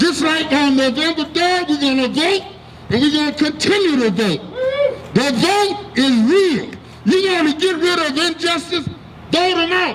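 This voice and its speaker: This man's voice sits at an extremely high pitch, with ordinary pitch variation and very even loudness at a moderate pace. Long, frequent pauses break up his speech over noticeable background noise. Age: 60s. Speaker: activist speaker. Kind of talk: rally speech. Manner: impassioned.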